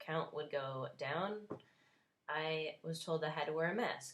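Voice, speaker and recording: In a New Jersey accent, a woman talks at a fairly slow pace with a very deep, low pitch. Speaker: vlogger, cancer survivor. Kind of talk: unscripted opinion vlog rant. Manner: animated, emphatic.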